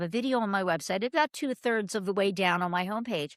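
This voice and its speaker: In a very clean recording with a silent background, a woman talks very fast in an animated tone, her medium pitch showing ordinary variation. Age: 60s. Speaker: marketing agency founder. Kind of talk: interview.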